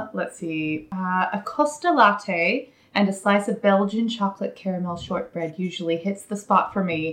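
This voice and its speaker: At a moderate pace, a woman talks in a normal speaking voice. Her pitch is medium, with ordinary variation. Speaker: yarn dyer. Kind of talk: casual chat.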